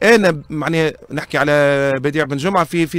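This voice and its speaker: This man talks at a very fast pace. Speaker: sports broadcaster. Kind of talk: interview.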